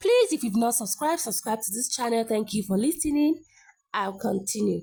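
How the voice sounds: At a moderate pace, a woman talks with a fairly high pitch, a dark, mellow tone, vocal fry and a slightly husky edge. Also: lively intonation.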